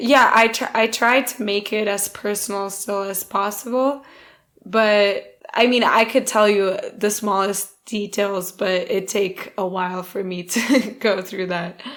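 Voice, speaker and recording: Speaking with an American accent, a woman uses a medium pitch and fairly even intonation. Her pace is fairly slow. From Portugal. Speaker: actress. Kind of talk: casual interview. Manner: halting, many fillers.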